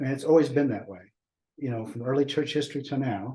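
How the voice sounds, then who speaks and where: Somewhat breathy and medium in pitch, a man's voice carries a dark, mellow tone. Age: 60s. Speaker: discussion group host. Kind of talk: casual group discussion. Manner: halting.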